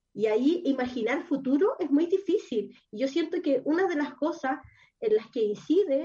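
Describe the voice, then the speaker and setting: A woman with a Chilean accent, high-pitched with a dark, mellow tone, lively intonation, and a moderate pace. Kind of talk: casual chat. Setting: at home.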